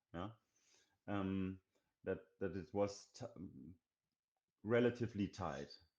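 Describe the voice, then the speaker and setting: A man with a German accent speaks fairly slowly at a fairly low pitch, with ordinary pitch variation and long, frequent pauses. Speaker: indie game developer. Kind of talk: interview. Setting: live stream. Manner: halting.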